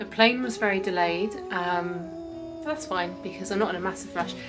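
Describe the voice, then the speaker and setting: Clear music plays in the background. A woman speaks over it at a moderate pace. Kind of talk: casual vlog chat. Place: home room. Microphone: phone near.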